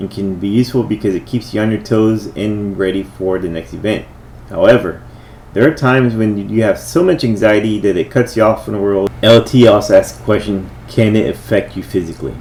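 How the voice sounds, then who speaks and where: The man's pitch sits fairly low, with ordinary variation. He moves at a fairly quick pace. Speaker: life coach and army veteran. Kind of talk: talking-head video monologue. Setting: in front of a camera.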